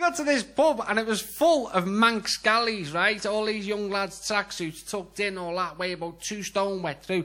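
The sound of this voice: A man speaks in a Scouse accent, high in pitch with a bright, sharp tone. His pace is moderate, with few pauses and ordinary pitch variation. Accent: Scouse, Liverpool.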